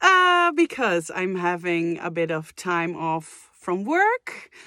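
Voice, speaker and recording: A woman speaks very slowly in a bright, sharp tone with very wide pitch swings. The recording is very clean, with a silent background and a dry, close sound with no echo. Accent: Dutch. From Netherlands. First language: Dutch. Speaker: vocal coach and singer, reaction youtuber. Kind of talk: casual reaction video chat. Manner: hesitant, many fillers.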